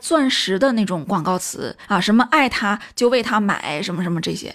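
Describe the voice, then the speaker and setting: In a very clean recording with a silent background, a woman with an unremarkable speaking voice talks at a moderate pace with lively intonation. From China. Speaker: film commentary video host. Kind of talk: casual monologue commentary.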